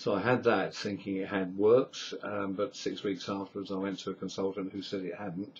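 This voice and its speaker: A man with an English accent, fairly low pitch, monotone, flat intonation, a somewhat breathy sound and a moderate pace. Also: hardly any pauses. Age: 60s. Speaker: patient sharing medical experience. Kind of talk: video diary. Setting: webcam recording at home.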